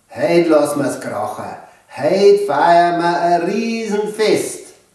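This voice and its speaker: A man with a Bavarian accent speaks at a very slow pace. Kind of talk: children's book reading.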